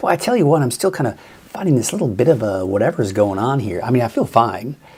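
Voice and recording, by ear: A man puts on a raspy character voice at a medium pitch. He talks at a very fast pace with very wide pitch swings.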